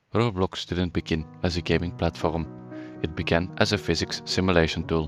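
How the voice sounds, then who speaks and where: Music plays in the background as a man speaks at a moderate pace. His pitch is very deep and low, with ordinary variation. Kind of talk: documentary narration.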